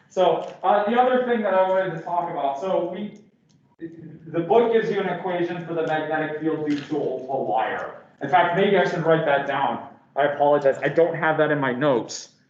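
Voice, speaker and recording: A man's high-pitched voice at a moderate pace, ordinary pitch variation, audible room echo. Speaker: physics professor. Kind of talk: lecture. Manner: halting, many fillers.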